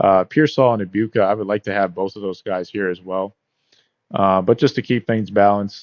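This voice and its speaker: A man's fairly low-pitched voice, fairly quick in pace, with fairly even intonation. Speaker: fantasy football YouTuber. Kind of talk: casual tutorial with live mock draft. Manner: casual, filler-heavy; fast.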